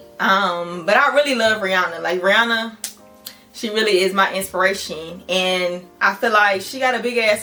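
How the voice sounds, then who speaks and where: Noticeable background noise accompanies the voice. Pitch variation is ordinary, and the pace is moderate. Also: woman. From Richmond, Virginia, US South. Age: 20s. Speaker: social media creator. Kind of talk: casual Q&A vlog. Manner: animated.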